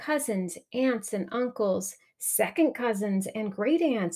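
What we hear is plain reading aloud.

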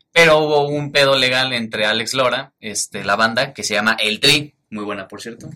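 A bright, sharp tone with big swings in loudness and ordinary pitch variation. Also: man, medium pitch for a man, moderate pace, hardly any pauses. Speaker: football podcast host. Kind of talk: casual chat.

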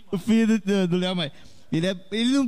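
A man with a high voice talks fairly quickly, with ordinary pitch variation. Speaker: regular live panelist. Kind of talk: casual chat.

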